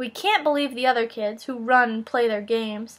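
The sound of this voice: What you hear is an unforced reading voice.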